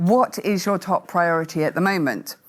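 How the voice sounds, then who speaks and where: A woman speaks with a fairly low pitch. The recording is very clean with a silent background. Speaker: masterclass moderator. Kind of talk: interactive masterclass presentation. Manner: loud.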